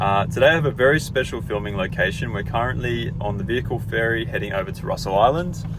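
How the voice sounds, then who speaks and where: In an Australian accent, a man talks very fast with hardly any pauses, over noticeable background noise and audible room echo. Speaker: owner builder vlogger, electrical contractor. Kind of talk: casual vlog update. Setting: on a vehicle ferry.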